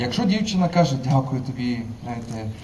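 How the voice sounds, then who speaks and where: A man at a fairly high pitch, with light background noise. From Crimea, Simferopol; Crimea. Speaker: university lecturer and institute director; university lecturer. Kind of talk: conference talk. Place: street. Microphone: pa.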